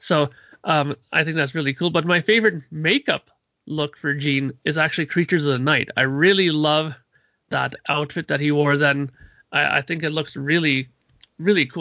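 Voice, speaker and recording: At a moderate pace, a man talks with fairly high pitch and ordinary pitch variation. He has an ordinary speaking voice. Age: 40s. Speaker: podcast panelist and musician. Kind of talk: casual chat.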